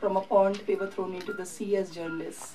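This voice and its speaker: A woman speaks in an Indian accent with light background noise. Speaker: documentary filmmaker; documentary filmmaker on panel. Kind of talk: press conference. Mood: earnest, passionate advocacy. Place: hall. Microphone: podium.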